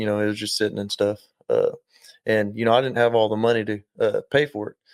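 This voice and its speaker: In an Oklahoma accent, a man talks at a very fast pace. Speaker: spray foam business owner. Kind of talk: casual chat. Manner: halting, many fillers.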